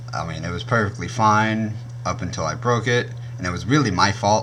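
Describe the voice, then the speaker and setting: Audible room echo surrounds a man's voice. He speaks at a moderate pace with fairly even intonation. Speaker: YouTuber reviewing gear. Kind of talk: product review. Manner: casual, with many fillers.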